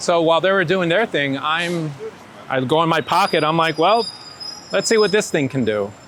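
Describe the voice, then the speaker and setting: Over noticeable background noise, a man with a New York accent speaks with lively intonation. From New York (born in Ecuador). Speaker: street photographer. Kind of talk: casual interview storytelling. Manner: animated, hesitant with repeated words.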